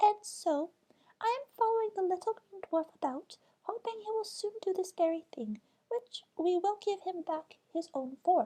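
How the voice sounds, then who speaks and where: A woman puts on a squeaky character voice with an extremely high pitch, talking at a moderate pace. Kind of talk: bedtime story. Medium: read story. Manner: earnest, explanatory storytelling.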